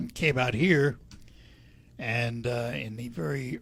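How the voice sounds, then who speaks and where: A somewhat breathy male voice at medium pitch, with ordinary pitch variation. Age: 80s+. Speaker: radio host. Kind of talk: radio interview.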